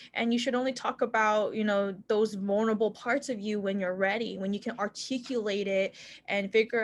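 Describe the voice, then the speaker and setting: A woman with an unremarkable speaking voice talks at a fairly quick pace, her fairly high pitch and fairly even intonation set against a quiet background. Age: 20s. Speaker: medical student. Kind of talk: panel Q&A answer.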